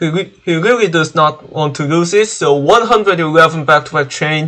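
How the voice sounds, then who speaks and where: A man with a fairly high voice talks at a moderate speed, his pitch varying in an ordinary way. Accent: Korean. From South Korea. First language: Korean. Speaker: gaming streamer. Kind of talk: gaming live stream commentary. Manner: halting.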